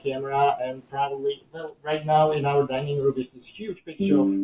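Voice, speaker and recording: A man with a Czech accent speaks at a fairly high pitch in a dark, mellow, somewhat breathy tone. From Czechoslovakia. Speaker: entrepreneur. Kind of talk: interview. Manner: halting with many fillers.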